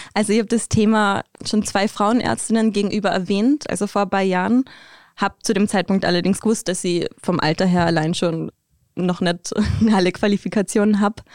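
Here a woman uses a normal speaking voice at a medium pitch, fairly quick, with fairly even intonation and very even loudness. The recording is very clean with a silent background, and the sound is dry and close with no echo. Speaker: interview guest. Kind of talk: casual interview.

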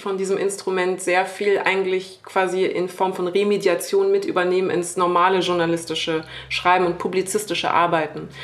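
A woman speaks at a medium pitch and a moderate pace. Background noise is noticeable. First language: French (bilingual with German) (speaking German). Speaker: media critic. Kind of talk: live podcast panel discussion.

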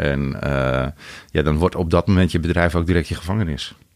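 A man with a very deep, low pitch moves along at a fairly quick pace. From Netherlands, rural North Holland. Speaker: wholesale business founder. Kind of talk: interview. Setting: studio. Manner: hesitant with many filler sounds.

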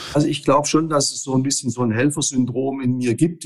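A man's medium-pitched voice at a very fast pace, with monotone, flat intonation. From Stuttgart area, Swabia. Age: 60s. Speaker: business consultant. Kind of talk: interview. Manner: halting, many filler words.

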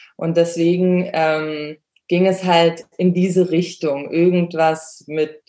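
A woman speaks at a very slow pace in a fairly low, dark, mellow voice. Her intonation is monotone and flat. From Germany. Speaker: dog trainer and photographer. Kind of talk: interview. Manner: hesitant, many fillers.

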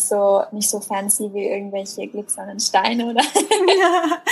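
A woman talks at a medium pitch in an ordinary speaking voice. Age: 20s. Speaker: blogger and workshop leader. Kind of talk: casual chat.

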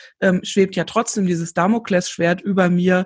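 A somewhat breathy woman's voice at medium pitch, against a quiet background. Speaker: podcast host. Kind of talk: casual interview. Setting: remote recording.

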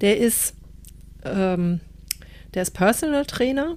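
A woman speaks at a very slow pace. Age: 50s. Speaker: podcast co-host. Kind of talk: casual chat.

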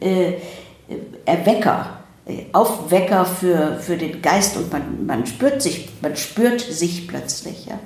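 A woman speaks very slowly with a fairly low pitch and lively intonation, leaving long, frequent pauses. Noticeable background noise and audible room echo fill the recording. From Germany, Ruhr area. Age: 70s. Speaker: psychiatrist and psychotherapist. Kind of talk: interview conversation. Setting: in person in Zurich.

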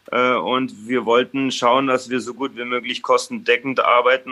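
A man at a medium pitch and a moderate pace. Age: 30s. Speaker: restaurant owner and chef. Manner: halting, many fillers.

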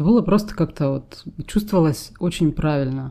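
A woman's very deep, low voice with a dark, mellow tone at a fairly quick pace. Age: 40s. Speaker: podcast co-host. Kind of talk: casual chat.

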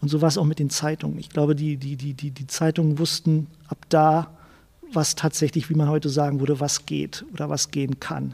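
The voice has a dark, mellow tone, somewhat breathy, with flat, monotone intonation at a moderate pace. The sound is dry and close, without echo. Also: man, fairly high pitch for a man. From Berlin (West Berlin, Charlottenburg). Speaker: journalist and author. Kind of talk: interview. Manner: halting, many repetitions and fillers.

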